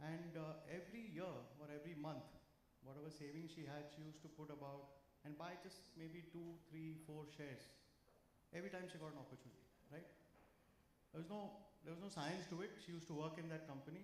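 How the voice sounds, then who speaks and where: Though his pace is fairly quick, a man leaves long, frequent pauses, with audible room echo around him. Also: fairly high pitch for a man. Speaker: financial speaker. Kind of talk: talk to a live audience. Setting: stage with audience. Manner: loud; animated.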